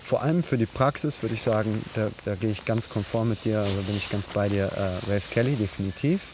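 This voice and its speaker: A man speaks at a moderate pace with a fairly low pitch. His pitch variation is ordinary. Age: 30s. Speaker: podcast host, parkour coach and sports student. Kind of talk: casual chat. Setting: outdoors in a forest.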